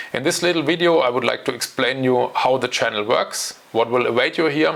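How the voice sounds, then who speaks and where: Over noticeable background noise, a man with a German accent speaks fairly quickly at medium pitch with ordinary pitch variation. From Germany. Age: 40s. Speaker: options trading educator. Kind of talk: channel introduction talk. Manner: hesitant, with fillers.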